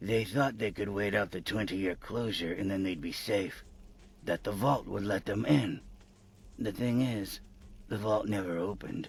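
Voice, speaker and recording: Putting on a character voice, a man speaks in a raspy, fairly low tone. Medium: game stream. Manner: reminiscing, unhurried.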